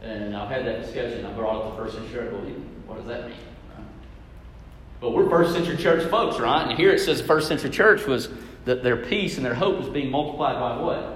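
Amid noticeable background noise and audible room echo, a man speaks at a fairly quick pace with a fairly high pitch and lively intonation. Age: 30s. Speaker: preacher. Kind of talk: sermon.

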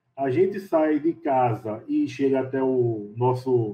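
His voice somewhat breathy, a man speaks fairly high with pitch that varies in an ordinary way. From Recife, Pernambuco, Brazil. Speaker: civil engineer. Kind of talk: interview. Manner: halting.

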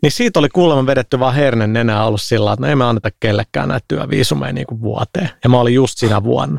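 A very fast pace with very wide pitch swings, in a dry, close sound with no echo. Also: man, medium pitch for a man. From Finland, Helsinki (Herttoniemi). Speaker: games industry entrepreneur. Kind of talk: casual chat.

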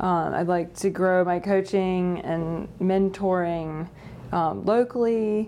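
A woman with an American accent at a very slow pace, intonation fairly even. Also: medium pitch for a woman. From North Carolina, Greensboro. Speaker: real estate agent. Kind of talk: interview.

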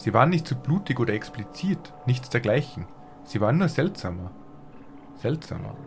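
A man speaking at a moderate pace with lively intonation, very even loudness and long, frequent pauses, music in the background. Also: medium pitch for a man. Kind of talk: ghost story reading aloud. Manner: hushed, tense first-person narration.

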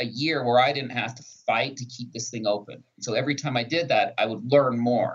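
A man's somewhat breathy voice with lively intonation at a moderate pace. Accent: American. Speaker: pharmacist and social media creator. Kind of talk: podcast interview.

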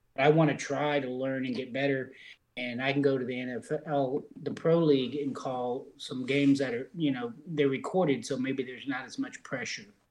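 With a normal speaking voice, a man talks at a moderate pace and fairly high pitch, with fairly even intonation and big swings in loudness. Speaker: sim league broadcaster. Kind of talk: casual group chat about sim football broadcasting.

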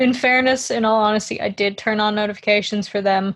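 A woman talks at a fairly quick pace with an unremarkable speaking voice. Her pitch is fairly high, and her intonation stays fairly even. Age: 20s. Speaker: podcast co-host. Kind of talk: casual chat.

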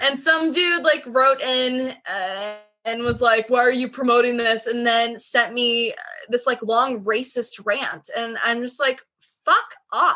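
Very slow speech from a woman with an American accent, high-pitched with ordinary pitch variation and a bright, sharp tone. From Seattle area, Washington. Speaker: record label and zine founder. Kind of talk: casual chat.

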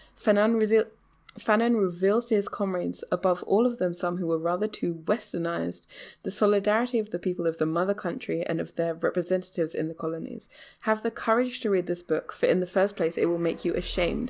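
In a very clean recording with a silent background, a woman speaks at a very fast pace. Her pitch is medium with ordinary variation. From England. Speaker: podcast host. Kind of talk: casual chat. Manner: joking, profane.

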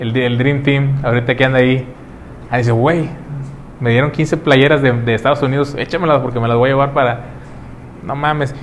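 Flat, monotone speech with a Mexican accent at a fairly quick pace, broken by long, frequent pauses, over noticeable background noise. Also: man, medium pitch for a man. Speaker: podcast host. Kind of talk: casual chat.

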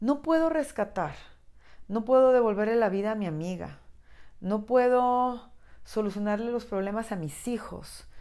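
At a fairly slow pace, a woman speaks with lively intonation, a fairly high pitch and a dark, mellow tone. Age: 40s. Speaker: podcast host. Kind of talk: personal reflective monologue. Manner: halting.

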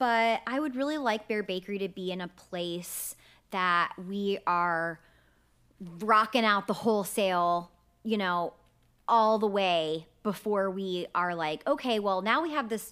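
On a very clean recording with a silent background, a woman speaks with a bright, sharp tone. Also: medium pitch for a woman, ordinary pitch variation, fairly slow pace. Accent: American. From Texas, Sugar Land near Houston. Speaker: bakery owner, entrepreneur. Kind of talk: casual interview chat. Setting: recording studio at co-working space.

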